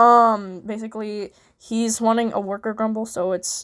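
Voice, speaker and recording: A woman's fairly high voice at a moderate pace, flat and monotone, on a very clean recording with a silent background. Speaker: hobbyist voice actor. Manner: casual, rambling with many fillers.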